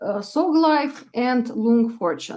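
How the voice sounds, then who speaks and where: Speaking at a very slow pace, a woman with a fairly high pitch talks in a Russian accent. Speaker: astrologer. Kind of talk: casual chat. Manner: halting, many fillers.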